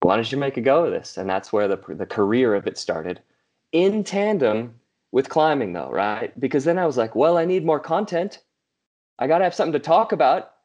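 Speaking at a fairly quick pace over a quiet background, a man with a fairly high pitch and vocal fry makes very wide pitch swings. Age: 30s. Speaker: motivational speaker and mountaineer. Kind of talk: podcast interview.

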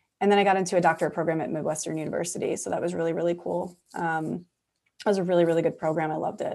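A woman with an American accent and a fairly low pitch speaks at a very fast pace in a very clean recording with a silent background. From US Northeast, New York/New Jersey area. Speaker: clinical psychologist. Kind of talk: interview conversation. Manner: animated, frequent laughter.

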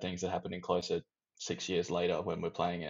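The voice belongs to a man. He talks with an Australian accent. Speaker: band member. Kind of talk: casual interview chat.

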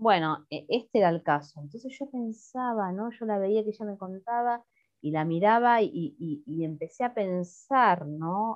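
At a fairly slow pace, a woman with an ordinary speaking voice talks at a medium pitch with lively intonation. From Greater Buenos Aires, Argentina (La Matanza). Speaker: singer-songwriter. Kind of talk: casual interview. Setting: remote call.

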